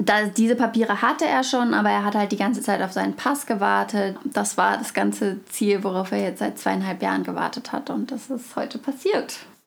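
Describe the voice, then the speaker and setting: Against noticeable background noise, a woman talks with hardly any pauses. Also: moderate pace. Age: 20s. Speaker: student and refugee aid volunteer. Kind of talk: interview. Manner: hesitant with fillers.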